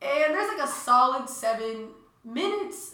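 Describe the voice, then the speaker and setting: With very wide pitch swings, a woman talks at a moderate pace over noticeable background noise. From Peruvian-American. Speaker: college student podcast host. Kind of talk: casual chat. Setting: home studio.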